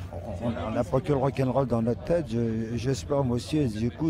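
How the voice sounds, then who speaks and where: His pitch varies in an ordinary way. Behind this man's speech, there is noticeable background noise. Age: 70s. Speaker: rock musician. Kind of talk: interview.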